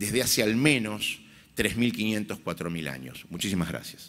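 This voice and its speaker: Music plays in the background. Over it, a man speaks with lively intonation. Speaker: rabbi. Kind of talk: conference speech. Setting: stage with audience. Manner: formal.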